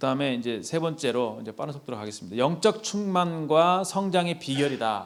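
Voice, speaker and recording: With audible room echo, a man at a fairly high pitch talks at a fairly quick pace with hardly any pauses, lively intonation and big swings in loudness. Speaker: youth group lay preacher. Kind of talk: sermon. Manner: fast.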